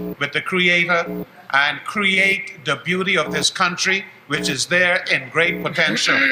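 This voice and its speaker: A man speaks at a fairly slow pace in a high voice. Noticeable noise runs in the background. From Bahamas. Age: 70s. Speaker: educator and activist. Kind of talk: closing statement at town hall. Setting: town hall meeting broadcast live on radio.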